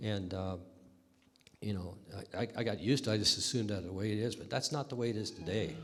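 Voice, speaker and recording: Audible room echo surrounds a man speaking at a fairly low pitch and a fairly quick pace with ordinary pitch variation. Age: 70s. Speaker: river runner and historical society member. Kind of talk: oral history talk to an audience.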